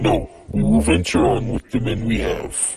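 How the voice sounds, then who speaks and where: A man adopts a put-on character voice and keeps a moderate pace. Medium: audio drama. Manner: measured, commanding.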